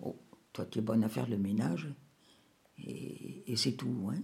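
A woman with a very deep, low pitch and vocal fry. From Morocco (Rabat). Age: 80s+. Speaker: grandmother telling her life story. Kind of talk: testimony. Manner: halting.

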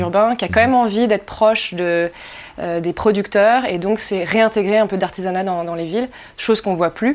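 A woman speaks in a normal speaking voice. Her pitch is medium, with ordinary variation. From Anjou, western France. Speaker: winemaker. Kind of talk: interview.

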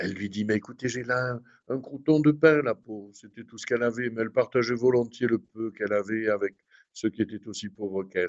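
A man with a southern French accent talks at a fairly quick pace and medium pitch, with fairly even intonation and big swings in loudness. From southern France. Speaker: priest, shrine rector. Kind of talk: radio interview. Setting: at the shrine.

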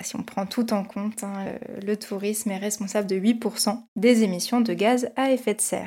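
This woman has a plain, everyday voice, pitched at a medium level and paced fairly slowly. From France, Paris region (near Versailles). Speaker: podcast host. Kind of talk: casual discussion.

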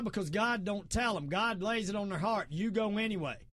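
Speaking in a Southern US accent, a man with a high pitch keeps a moderate pace. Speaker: podcast host and martial arts expert. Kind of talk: casual talk show monologue. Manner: informal, rambling, opinionated.

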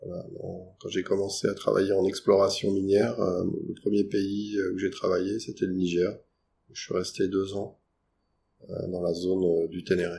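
A man with fairly low pitch and a dark, mellow tone speaks at a moderate pace in a monotone, flat intonation, leaving long, frequent pauses. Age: 40s. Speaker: geologist. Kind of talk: interview. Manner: hesitant, many fillers.

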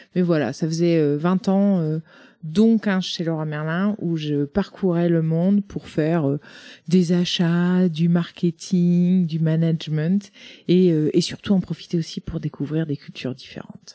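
Recorded very cleanly against a silent background, a woman with a fairly low pitch and a dark, mellow tone talks at a fairly slow pace with fairly even intonation. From Brittany, Côtes d'Armor. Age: 40s. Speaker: startup founder. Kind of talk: interview.

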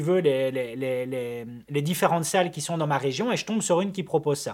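An ordinary speaking voice moves at a moderate pace with lively intonation, on a very clean recording with a silent background. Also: man. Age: 30s. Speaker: videographer and podcast co-host. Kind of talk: casual chat.

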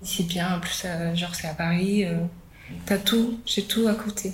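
Over noticeable background noise, a woman with a medium pitch speaks at a very slow pace with fairly even intonation. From Ivory Coast, then France from age 11. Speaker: model living in youth workers' hostel. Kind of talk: personal testimony interview. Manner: casual, hesitant with many fillers.

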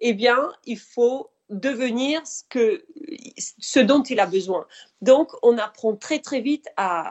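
A woman speaks very slowly at a fairly high pitch, her pitch swinging very widely. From Spain, Mediterranean coast. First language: Spanish (speaking French). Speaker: author. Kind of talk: interview.

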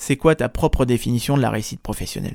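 The recording is very clean, with a silent background and a dry, close sound with no echo. A man speaks at a fairly quick pace. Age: 30s. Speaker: podcast host and career coach. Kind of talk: solo podcast monologue. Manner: casual, hesitant with fillers.

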